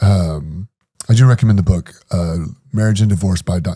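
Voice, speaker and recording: Somewhat breathy and dark, mellow in tone, a man speaks at a moderate pace in a very deep, low pitch with ordinary pitch variation. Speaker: former preacher and ex-prisoner sharing his story. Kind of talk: podcast interview, personal testimony. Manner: halting, stuttering on hard topics.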